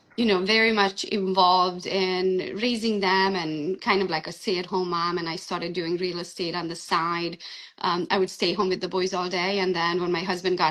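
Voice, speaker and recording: With a Hungarian accent, a woman talks in a monotone, flat intonation with hardly any pauses. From Transylvania, Romania (Hungarian). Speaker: real estate agent. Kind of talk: interview.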